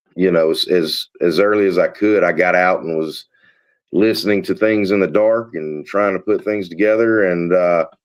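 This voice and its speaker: Southern US accent in a monotone, flat delivery at a moderate pace. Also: man. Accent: Southern US (Georgia). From US South (Georgia). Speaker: paranormal investigator. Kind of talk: casual chat.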